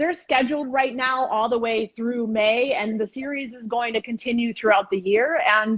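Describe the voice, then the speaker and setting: A woman with an unremarkable speaking voice talks at a fairly high pitch and moderate pace, with ordinary pitch variation and hardly any pauses. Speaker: chef and cooking teacher. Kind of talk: cooking demonstration on a live stream. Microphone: phone with headphones.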